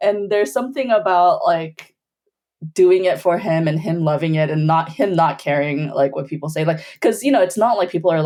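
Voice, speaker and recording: A woman speaks with an American accent. She has a plain, everyday voice at a fairly low pitch. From Bolivia, then US from age five. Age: 40s. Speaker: filmmaker. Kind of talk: casual chat.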